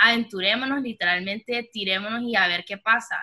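Her pitch is fairly high for a woman, with ordinary pitch variation. She talks at a fairly quick pace. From Honduras. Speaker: podcast co-host, designer. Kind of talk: casual chat.

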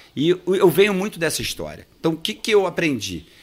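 Vocal fry on a very clean recording with a silent background. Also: man. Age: 50s. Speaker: accountant and trading firm owner. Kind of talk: casual interview chat.

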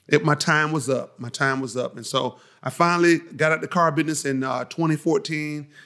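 With an American accent, a man talks at a fairly quick pace in a bright, sharp tone and fairly even intonation. The recording is very clean, with a silent background. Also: fairly high pitch for a man. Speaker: insurance agent and preacher. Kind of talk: interview. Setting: company office. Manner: powerful, full of conviction.

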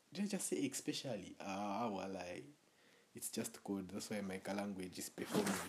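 At a moderate pace, a man speaks in a normal speaking voice with a fairly low pitch and fairly even intonation. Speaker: podcast host. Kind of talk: casual comedic podcast monologue.

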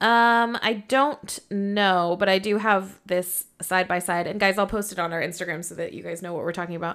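A woman's normal speaking voice at medium pitch and moderate pace, with fairly even intonation, big swings in loudness and hardly any pauses, on a very clean recording with a silent background. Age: 20s. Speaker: podcast co-host. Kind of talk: casual chat.

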